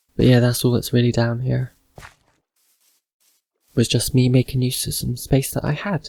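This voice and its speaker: Long, frequent pauses break up a man's dark, mellow tone and fairly even intonation. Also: medium pitch for a man, moderate pace. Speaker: gamer. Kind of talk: casual game commentary.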